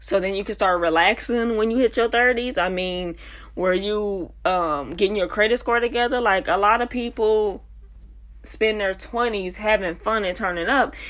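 Her tone is animated, with ordinary pitch variation. The woman speaks at a medium pitch and a moderate pace. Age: 20s. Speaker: podcast host. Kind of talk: casual monologue.

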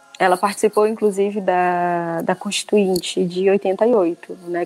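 Music plays in the background as a woman speaks at a fairly slow pace. Her pitch is medium, with fairly even intonation. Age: 20s. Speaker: author and researcher. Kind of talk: interview.

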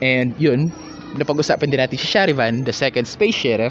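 Over noticeable background noise, a man's voice can be heard. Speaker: podcast host. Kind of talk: casual solo monologue. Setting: outdoors in a park corner.

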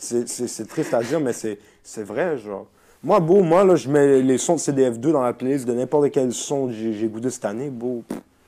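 A man speaks at a fairly slow pace with a dark, mellow tone and ordinary pitch variation. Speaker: rapper. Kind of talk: casual chat. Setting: at the host's home.

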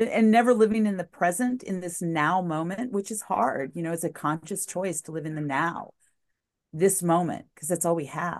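A woman uses a normal speaking voice at a moderate pace, her fairly low pitch showing ordinary variation. Her loudness swings widely against a quiet background. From New Mexico, US. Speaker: former TV news journalist, recovery advocate. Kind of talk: interview, personal testimony.

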